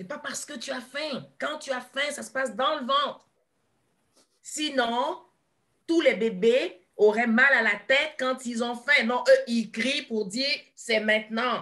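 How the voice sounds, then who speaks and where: Against a quiet background, a woman uses a raised, projected voice, high in pitch and bright and sharp in tone, with ordinary pitch variation, big swings in loudness and a very slow pace. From Ivory Coast. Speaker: kinesiologist and therapist; guest. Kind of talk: interview. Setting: live video stream. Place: home room. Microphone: video call.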